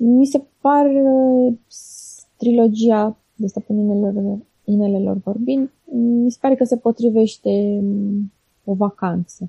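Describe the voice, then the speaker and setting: A woman's somewhat breathy voice, dark and mellow in tone yet fairly high in pitch, very slow, dry and close with no echo. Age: 30s. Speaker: blogger. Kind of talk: interview. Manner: halting.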